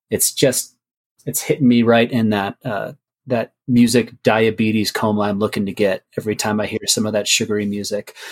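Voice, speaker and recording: This is a normal speaking voice with fairly even intonation and a dry, close sound with no echo. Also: man, medium pitch for a man, moderate pace. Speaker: vinyl packaging producer. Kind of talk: casual interview.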